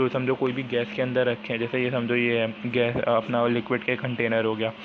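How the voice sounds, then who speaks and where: A man's medium-pitched, monotone delivery at a moderate pace, very even in loudness, with noticeable background noise. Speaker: school science teacher. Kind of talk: lecture. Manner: halting, many fillers and restarts.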